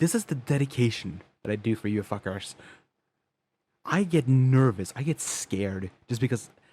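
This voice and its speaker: A man talks at a fairly slow pace. His voice is somewhat breathy. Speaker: animated series creator reacting to own episode. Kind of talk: casual reaction commentary. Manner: halting, stumbling over words; casual with swearing.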